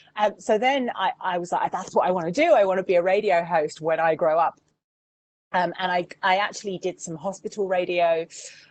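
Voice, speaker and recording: This woman talks at a fairly quick pace with an English accent. Her pitch is medium, with ordinary pitch variation. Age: 40s. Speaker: radio presenter and campaigner. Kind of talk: online Q&A masterclass.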